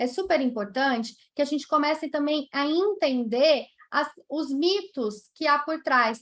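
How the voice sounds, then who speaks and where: A woman speaks at a fairly slow pace with a slight Brazilian accent. Her high pitch shows ordinary pitch variation. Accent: non-mineiro Brazilian accent, slight. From Brazil, not Minas Gerais. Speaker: nurse and professor of palliative care. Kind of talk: conference talk Q&A.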